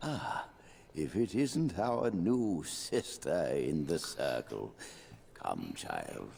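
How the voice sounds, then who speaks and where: Over clear background noise, a man uses a put-on character voice at a very slow pace. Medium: video game.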